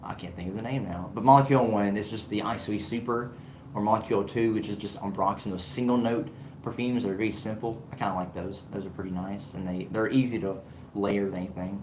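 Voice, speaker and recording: With an American accent, a man at fairly low pitch talks at a very fast pace amid audible room echo. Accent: Southern US accent, kept down. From US South. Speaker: fragrance reviewer, channel owner. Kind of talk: livestream chat with viewers. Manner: animated.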